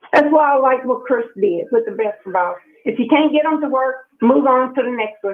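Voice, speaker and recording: An animated tone with ordinary pitch variation. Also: woman, high pitch for a woman, moderate pace. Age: 60s. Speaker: sports radio caller. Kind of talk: call-in radio rant.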